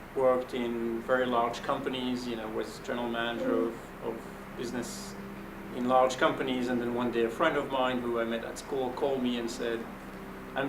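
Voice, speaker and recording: In a French accent, a man speaks at a fairly quick pace with medium pitch and monotone, flat intonation. Audible room echo and noticeable background noise surround him. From Belgium. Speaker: venture capitalist. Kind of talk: panel talk, fireside chat. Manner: conversational with fillers.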